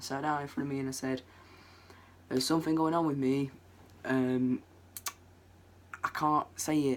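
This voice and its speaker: At a moderate pace broken by long, frequent pauses, a man speaks in a fairly high pitch with monotone, flat intonation. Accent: Lancashire. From northwest England, Preston. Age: young. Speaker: vlogger. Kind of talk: personal story vlog. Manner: casual, hesitant with many ums.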